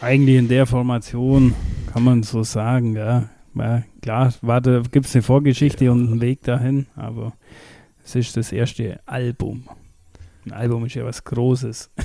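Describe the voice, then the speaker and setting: With a dark, mellow tone, a man speaks at a medium pitch and moderate pace in a monotone, flat intonation. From Bavaria, Allgäu. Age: 30s. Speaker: metal band drummer. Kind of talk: casual chat. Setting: remote call over the internet.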